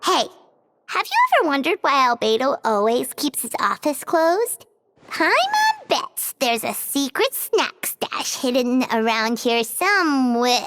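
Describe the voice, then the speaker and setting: At a moderate pace, someone performs in a put-on character voice. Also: female-sounding voice, high pitch for a woman. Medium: fan dub. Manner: bubbly, blunt.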